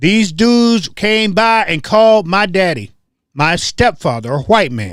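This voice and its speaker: Using lively intonation, a man talks in a high pitch at a fairly slow pace. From US South (Tennessee, North Carolina). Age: 60s. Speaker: online show host. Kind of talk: casual livestream monologue. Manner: animated.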